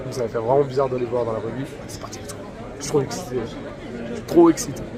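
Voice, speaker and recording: Crowd noise and audible room echo surround a man speaking at a very fast pace and medium pitch. His loudness swings widely, while his pitch varies in an ordinary way. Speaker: vlogger. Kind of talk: casual vlog. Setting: convention hall.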